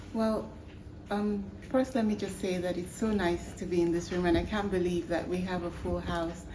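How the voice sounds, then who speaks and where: Audible room echo surrounds a woman who talks at a moderate pace with ordinary pitch variation. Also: medium pitch for a woman. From Nigeria. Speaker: human rights activist. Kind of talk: panel discussion. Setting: stage with audience.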